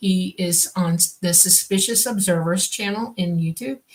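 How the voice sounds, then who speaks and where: The delivery is fairly slow and somewhat breathy, with pitch moving in an ordinary way. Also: woman. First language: Swedish. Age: 60s. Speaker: radio show co-host, contactee. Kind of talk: live radio Q&A. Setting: radio studio. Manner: halting.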